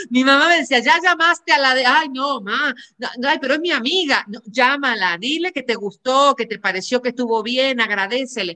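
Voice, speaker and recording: A woman's raised, projected, high-pitched voice at a moderate pace, with lively intonation and hardly any pauses. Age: 40s. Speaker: podcast host, psychologist and coach. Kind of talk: casual interview chat.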